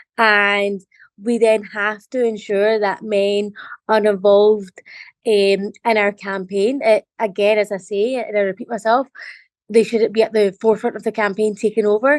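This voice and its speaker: With a Scottish accent, a woman speaks at a moderate pace and a fairly high pitch in monotone, flat intonation, with a dry, close sound with no echo and a quiet background. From Scotland. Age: young. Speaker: member of parliament. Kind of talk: interview. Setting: video call.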